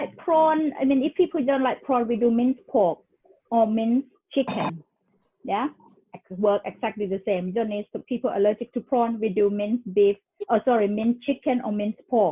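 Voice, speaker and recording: A woman speaks in a Thai accent at a fairly high pitch. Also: ordinary pitch variation, moderate pace. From Thailand, moved to England as a youth. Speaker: cooking class host. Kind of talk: casual chat. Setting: video call.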